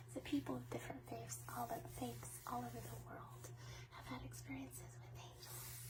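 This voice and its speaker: A woman whispers in a soft-spoken, soothing tone at a moderate pace. Noticeable background noise sits behind her. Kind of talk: ASMR soft talk about angels. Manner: whispered.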